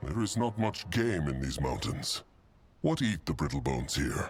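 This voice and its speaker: Moderate pace in a put-on character voice. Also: man, very deep, low pitch for a man. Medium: video game. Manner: broken grammar, third person.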